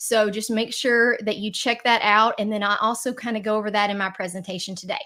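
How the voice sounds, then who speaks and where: A woman with a Southern accent speaks in a bright, sharp tone and a flat, monotone delivery, barely pausing at all. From Tennessee, Nashville. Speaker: card maker. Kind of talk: live Q&A. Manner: casual, with fillers.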